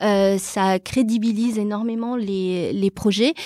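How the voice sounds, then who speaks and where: A woman with an ordinary speaking voice talks at a fairly high pitch with ordinary pitch variation. The sound is dry and close with no echo, on a very clean recording with a silent background. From Brazil, then Toulouse from age 12. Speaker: real estate entrepreneur, property management founder. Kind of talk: interview.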